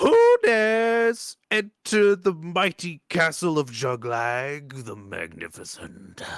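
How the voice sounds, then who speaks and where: A put-on character voice at a very slow pace with very wide pitch swings. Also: man, high pitch for a man. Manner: commanding, challenging.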